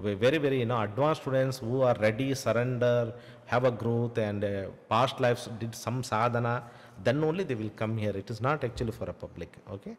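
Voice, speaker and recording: In a Kannada accent, a man speaks at a fairly quick pace, his medium pitch showing ordinary pitch variation. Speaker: spiritual teacher. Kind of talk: Q&A session answering viewer questions. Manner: halting, many fillers.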